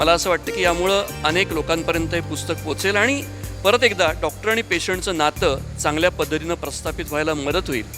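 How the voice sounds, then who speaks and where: Over music in the background, a man talks at a high pitch. His pitch swings very widely. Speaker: doctor and author. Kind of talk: award acceptance speech.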